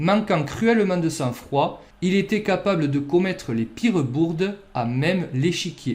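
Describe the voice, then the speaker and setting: A man's high-pitched, playful voice in a southern French accent, at a fairly slow pace with lively intonation. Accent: southern French accent (sunny). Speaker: chess youtuber. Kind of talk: scripted narration.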